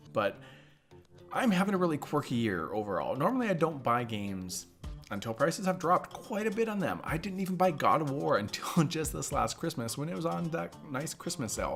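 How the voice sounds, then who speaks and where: Music in the background beneath a man's voice swinging very widely in pitch. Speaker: gaming YouTuber. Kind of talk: casual talk to camera.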